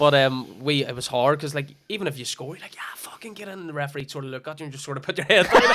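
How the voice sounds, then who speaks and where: A man with a Northern Irish accent talks very fast with hardly any pauses, his fairly high voice showing ordinary pitch variation and big swings in loudness over noticeable background noise. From Northern Ireland. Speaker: coach and former footballer. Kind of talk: casual chat. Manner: outgoing, animated.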